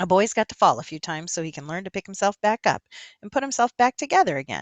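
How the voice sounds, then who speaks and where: A female-sounding voice rattles along at a very fast pace, pitched in the middle range. It is a put-on character voice with a wheezy quality. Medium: read story. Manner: folksy, storytelling.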